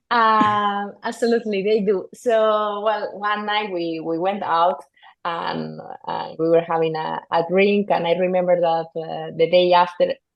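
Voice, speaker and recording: At a fairly slow pace, a woman with a Spanish accent speaks with medium pitch and fairly even intonation. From northern Spain. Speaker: golf course superintendent. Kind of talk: podcast interview. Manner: halting, many fillers and repetitions.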